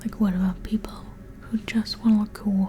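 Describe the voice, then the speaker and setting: Soft-spoken, playful whispering at a moderate pace, with noticeable background noise. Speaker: ASMR creator. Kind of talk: intellectual ASMR ramble to camera. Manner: soft-spoken, whispery, playful mock-scholarly.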